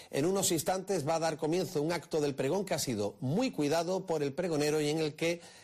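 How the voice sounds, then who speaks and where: In an ordinary speaking voice, a man talks at a fairly quick pace and a fairly high pitch, with ordinary pitch variation, very even loudness, and hardly any pauses. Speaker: radio presenter. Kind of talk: broadcast presentation.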